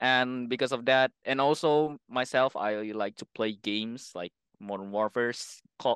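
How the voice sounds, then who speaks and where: An Indonesian accent, with dry, close sound and no echo. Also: man. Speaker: airsoft player. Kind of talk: casual chat. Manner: halting.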